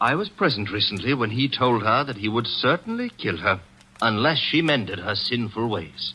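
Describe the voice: In a put-on character voice, a man makes big pitch swings with a bright, sharp tone and a slightly husky edge. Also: medium pitch for a man, moderate pace.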